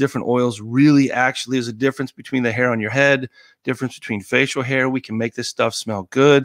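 With an American accent, a man talks at a fairly quick pace in a normal speaking voice, medium in pitch and fairly even in intonation. The recording is very clean with a silent background. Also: dry, close sound with no echo. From Colorado. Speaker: former Navy SEAL. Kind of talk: casual chat.

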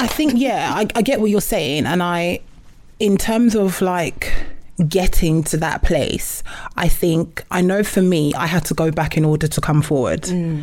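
At a fairly slow pace, a woman talks in a plain, everyday voice with a fairly low pitch and lively intonation. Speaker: podcast co-host. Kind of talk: casual chat.

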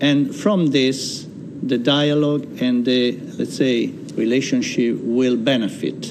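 A man talks at a fairly slow pace with medium pitch and ordinary pitch variation. Room echo is audible, and background noise is noticeable. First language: Italian. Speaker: chamber of commerce chairman. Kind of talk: interview. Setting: studio.

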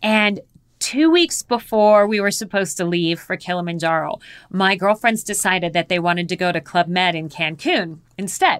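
In a very clean recording with a silent background, a woman with an ordinary speaking voice talks at a moderate pace and medium pitch. She has an American accent and ordinary pitch variation. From US Southwest, Phoenix, Arizona. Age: 50s. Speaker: polar explorer and mountaineer. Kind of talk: interview, storytelling.

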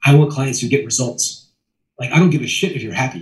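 A somewhat breathy man with an American accent, a medium pitch and a very fast pace. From US, Maryland. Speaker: sales trainer. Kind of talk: casual chat. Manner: animated.

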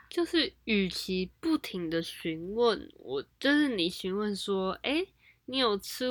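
A woman at medium pitch speaks at a very slow pace on a very clean recording with a silent background. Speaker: university student. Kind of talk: casual chat. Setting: at home.

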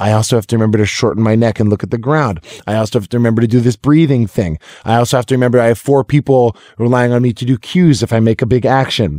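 The recording is dry and close, with no echo. A man with an American accent and a dark, mellow tone talks very fast at a medium pitch. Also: ordinary pitch variation, very clean recording, silent background. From Massachusetts, Lexington. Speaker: actor and former basketball player. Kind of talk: casual interview chat. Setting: studio.

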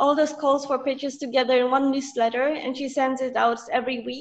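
This woman has a high pitch. She speaks with a Polish accent. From Poland. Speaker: freelance writer and journalist. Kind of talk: interview.

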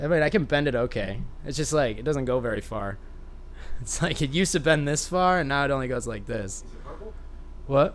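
Talking at a fairly quick pace with a fairly high pitch, a man leaves long, frequent pauses amid audible room echo. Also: ordinary pitch variation. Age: 20s. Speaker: skateboarder and artist. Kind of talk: casual chat.

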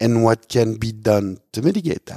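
The sound is dry and close, with no echo. A man speaks in a dark, mellow tone at a moderate pace. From Switzerland. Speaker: winemaker. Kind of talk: interview. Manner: halting with repetitions.

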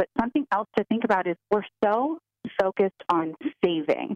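Using an ordinary speaking voice, a woman talks at a moderate pace with lively intonation. The sound is dry and close, with no echo. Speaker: financial advisor. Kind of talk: advice.

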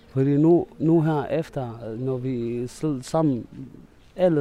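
With an Arabic accent, a man speaks very slowly at a medium pitch and with fairly even intonation. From Syria. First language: Arabic (speaking Danish). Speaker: refugee. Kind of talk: interview. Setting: outdoors. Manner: halting.

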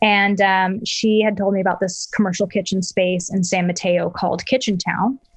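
A woman's somewhat breathy voice holds a very even loudness. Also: medium pitch for a woman, moderate pace, quiet background. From US South, Arkansas. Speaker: food entrepreneur. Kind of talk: interview. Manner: energetic.

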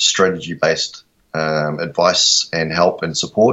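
A man is talking. His speech carries a New Zealand accent. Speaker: photographer and social media strategist. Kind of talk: interview. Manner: hesitant, many fillers.

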